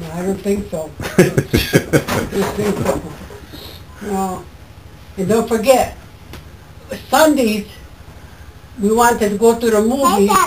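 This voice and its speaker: A woman's medium-pitched voice at a very slow pace, with ordinary pitch variation, long, frequent pauses and noticeable background noise. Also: big swings in loudness. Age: 80s+. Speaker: former farm girl and mill worker. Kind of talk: interview answer. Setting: outdoors.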